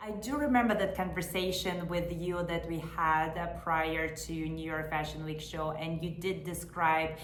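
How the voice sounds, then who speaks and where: With an American accent, a woman talks at a moderate pace in a fairly low pitch. Noticeable background noise and audible room echo fill the recording. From Los Angeles. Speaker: podcast host. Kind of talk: interview.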